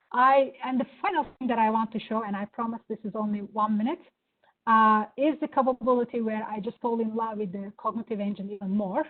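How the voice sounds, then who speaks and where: A woman with a Turkish accent speaks at a fairly quick pace, her fairly high pitch held in fairly even intonation. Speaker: software product presenter. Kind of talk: product demo. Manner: hesitant, many fillers.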